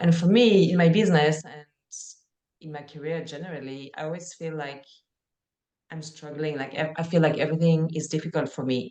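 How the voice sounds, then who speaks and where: A woman's very deep, low voice, dark and mellow in tone, at a fairly quick pace, with fairly even intonation, long, frequent pauses and big swings in loudness. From France. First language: French. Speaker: life and career coach for musicians. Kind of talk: live coaching session.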